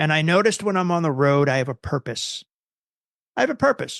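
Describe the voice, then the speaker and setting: An animated voice with an American accent uses lively intonation at a moderate pace. The sound is dry and close with no echo, over a quiet background. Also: man. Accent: New Jersey accent, came back after fading. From New Jersey. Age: 50s. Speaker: guitar tech and production manager. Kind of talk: podcast interview.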